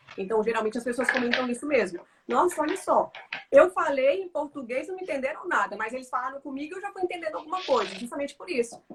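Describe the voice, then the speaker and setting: Over noticeable background noise, a woman with a high pitch talks at a very fast pace with very wide pitch swings and big swings in loudness. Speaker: language teacher. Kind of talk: casual chat.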